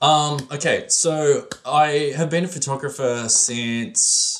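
Lively in intonation, a man with a fairly high pitch talks in an Australian accent. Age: 40s. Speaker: photographer and videographer. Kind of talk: casual interview.

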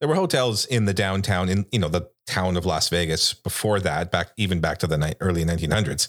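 On a very clean recording with a silent background, a man speaks in a normal speaking voice at a moderate pace, his fairly low pitch showing ordinary variation. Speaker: podcast co-host. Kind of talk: casual chat.

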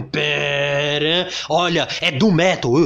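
A man is speaking. His tone is animated. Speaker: music podcast host. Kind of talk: casual solo commentary.

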